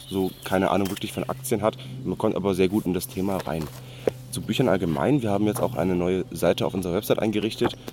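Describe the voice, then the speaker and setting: Over noticeable background noise, a man rattles along at a very fast pace with lively intonation and a fairly low pitch. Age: 20s. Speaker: student and podcast co-host. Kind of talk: casual chat. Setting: outdoors on a hike.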